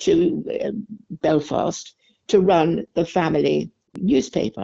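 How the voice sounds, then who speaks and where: Her voice marked by vocal fry, a woman speaks at a very slow pace. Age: 80s+. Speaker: charity founder. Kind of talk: interview. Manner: halting.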